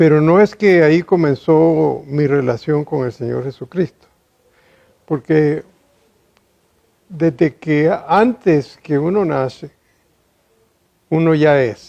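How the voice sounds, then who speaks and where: With a dark, mellow tone and a fairly high pitch, a man talks at a very slow pace with ordinary pitch variation and long, frequent pauses. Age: 60s. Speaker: engineer and businessman. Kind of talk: testimony.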